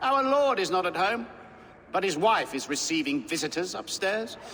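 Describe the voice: In a put-on character voice, a man speaks at a high pitch with a bright, sharp tone, big pitch swings, and a moderate pace.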